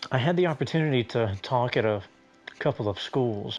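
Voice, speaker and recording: With music in the background, a man speaks at a moderate pace in a Southern US accent. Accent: Southern American. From South Carolina, USA. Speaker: musician and stuttering awareness advocate. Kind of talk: interview answer. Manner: casual.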